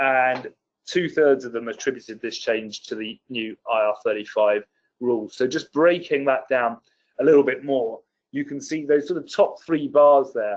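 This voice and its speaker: With a British accent, a man speaks at a fairly high pitch. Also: ordinary pitch variation. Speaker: policy expert presenter. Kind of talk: webinar presentation. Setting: online webinar. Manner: fast.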